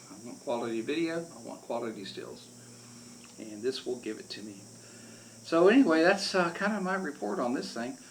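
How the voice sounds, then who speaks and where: Pausing long and often, a man with an American accent swings widely in pitch and loudness, with audible room echo. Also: fairly high pitch for a man, moderate pace. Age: 70s. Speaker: amateur photographer and YouTuber. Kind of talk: casual product review. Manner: halting, with many fillers.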